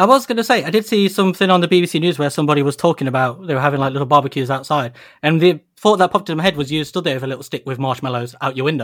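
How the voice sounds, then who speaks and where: Talking very fast with hardly any pauses, a man with a British accent and a fairly high pitch uses lively intonation on a very clean recording with a silent background. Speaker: toy podcast host. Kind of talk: casual chat.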